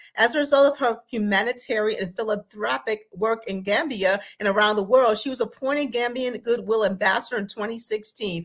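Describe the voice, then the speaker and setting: A woman speaks at a moderate pace with hardly any pauses. Her pitch varies in an ordinary way against a quiet background. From Texas. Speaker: executive producer and co-host. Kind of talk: talk show introduction. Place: home room. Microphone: webcam.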